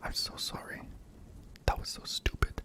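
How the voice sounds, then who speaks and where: A man whispering, dry and close with no echo, over noticeable background noise. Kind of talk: scary story reading. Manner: whispered.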